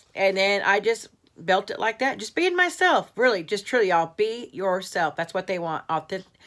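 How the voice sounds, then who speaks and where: Medium in pitch, a woman talks with ordinary pitch variation. The recording is very clean, with a silent background. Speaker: craft youtuber. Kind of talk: casual vlog. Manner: fast.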